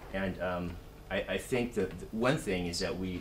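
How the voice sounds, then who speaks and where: Through audible room echo, a man in a Californian accent talks at a moderate pace with fairly low pitch. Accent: Californian American English. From US West Coast, Silicon Valley. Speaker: university executive, guest speaker. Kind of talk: talk to students. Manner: halting, many fillers.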